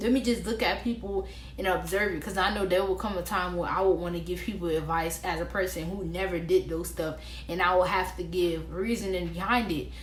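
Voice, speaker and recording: Audible room echo and noticeable background noise accompany a woman speaking at a fairly quick pace. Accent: American. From Florida, Orlando. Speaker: vlogger. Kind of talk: casual advice vlog. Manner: animated.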